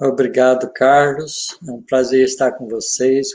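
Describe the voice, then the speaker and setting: A man at a very slow pace. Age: 70s. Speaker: physics professor and spiritist speaker. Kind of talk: study group discussion.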